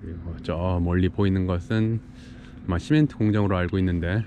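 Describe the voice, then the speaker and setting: A man's very deep, low voice at a moderate pace with ordinary pitch variation, dry with no echo, over noticeable background noise. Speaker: vlogger on a work trip. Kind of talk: casual vlog chat. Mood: relaxed, content. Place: waterside. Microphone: phone near.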